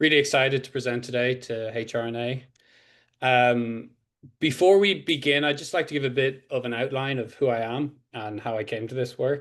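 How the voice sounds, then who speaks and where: At a moderate pace, a man speaks at medium pitch with ordinary pitch variation over a quiet background. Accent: Irish. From Ireland. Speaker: PhD candidate, criminology researcher. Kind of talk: academic presentation.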